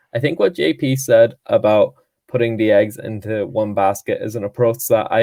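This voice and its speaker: In a Donegal accent, a man speaks at a moderate pace. The recording is very clean, with a silent background and a dry, close sound with no echo. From Donegal, Ireland. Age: 20s. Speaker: student activist. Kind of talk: panel talk, personal testimony.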